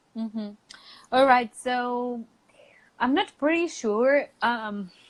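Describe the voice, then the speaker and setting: At a very slow pace, a woman with a Spanish accent speaks in a high pitch with ordinary pitch variation. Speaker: English teacher. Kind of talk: casual chat. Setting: live video stream.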